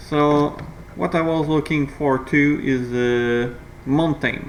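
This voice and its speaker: Noticeable background noise sits behind a man with a non-native accent. His voice is fairly high-pitched with ordinary pitch variation. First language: not English. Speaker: gaming video creator. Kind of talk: gameplay commentary tutorial. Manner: halting, many fillers.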